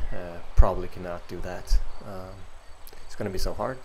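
There is noticeable background noise in the clip. A man speaks with a very deep, low pitch. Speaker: cyclist streamer. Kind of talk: casual vlog chat. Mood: self-deprecating, low expectations. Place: home room.

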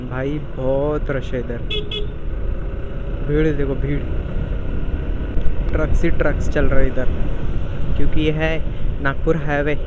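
A man at a very slow pace with long, frequent pauses over loud background noise. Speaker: motovlogger. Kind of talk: casual vlog chat. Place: motorbike. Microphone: helmet.

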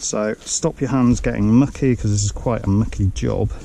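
A man speaks at a moderate pace in a fairly low, dark, mellow tone with vocal fry and fairly even intonation.

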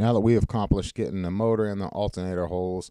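A man's dark, mellow voice with fairly even intonation, dry with no echo, against a quiet background. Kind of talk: tutorial. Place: workshop. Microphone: phone near.

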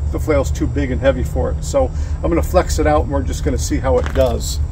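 With music in the background, a man with a very deep, low voice speaks at a fairly quick pace and with fairly even intonation. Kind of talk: casual product demo. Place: shop. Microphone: phone near.

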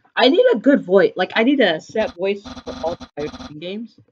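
The speaker is doing plain reading aloud. The delivery stays plain throughout.

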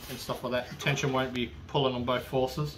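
Over light background noise, a man rushes along very fast in a flat monotone. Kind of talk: tutorial. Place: garage.

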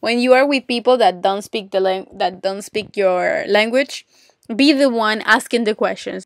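A woman with a Spanish accent speaks at a fairly high pitch. The sound is dry and close, with no echo. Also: ordinary pitch variation, moderate pace. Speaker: podcast host, English teacher. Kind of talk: solo podcast monologue. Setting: home closet, recording for better audio. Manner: friendly, warm.

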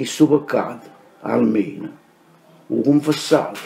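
A man speaks in a Neapolitan accent. His pace is very slow. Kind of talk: poetry reading.

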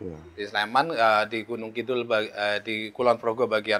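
Here a man talks at a medium pitch and a moderate pace. His tone is bright and sharp. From Central Java (Banjarnegara); Central Java. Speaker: head of a meteorological station; guest. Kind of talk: interview. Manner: halting, many fillers. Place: shop. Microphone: lapel.

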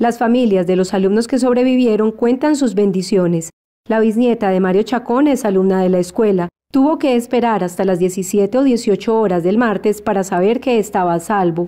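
In an unremarkable speaking voice, a woman talks at a moderate pace with fairly high pitch and ordinary pitch variation. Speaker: news reporter. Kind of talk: newsreading, voiceover report narration. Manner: even, brisk, neutral and formal.

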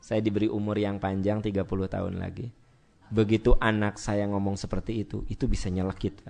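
At a fairly quick pace, a man with a Sundanese accent speaks in a fairly low, dark, mellow voice with monotone, flat intonation. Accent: Sundanese-accented Indonesian. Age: 40s. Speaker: Islamic preacher. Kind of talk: sermon. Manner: conversational, addressing audience directly.

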